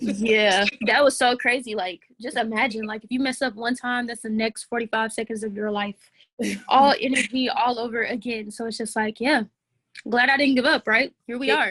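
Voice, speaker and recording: Soft-spoken and with an American accent, a woman talks at a moderate pace in a fairly high pitch. Her tone is bright and sharp, her intonation fairly even. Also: dry, close sound with no echo. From Atlanta, Georgia, USA. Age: 20s. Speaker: rapper. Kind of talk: interview answer. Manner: soft-spoken, articulate.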